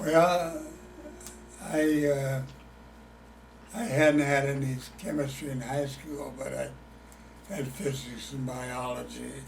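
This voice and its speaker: A man with a Midwestern American accent speaks very slowly with long, frequent pauses and a fairly high pitch with ordinary pitch variation, amid noticeable background noise and audible room echo. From Illinois. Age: 80s+. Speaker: retired chemist, oral history interviewee. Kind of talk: oral history interview. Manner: halting.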